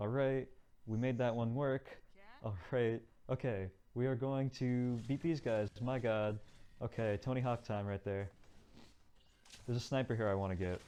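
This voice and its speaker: A dark, mellow tone with very even loudness, fairly even intonation and long, frequent pauses. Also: man, medium pitch for a man. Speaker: speedrunner. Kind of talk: gameplay commentary. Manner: fast.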